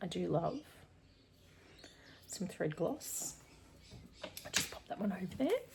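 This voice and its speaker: Over noticeable background noise, a woman speaks. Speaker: cross stitch YouTuber. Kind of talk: casual unboxing vlog.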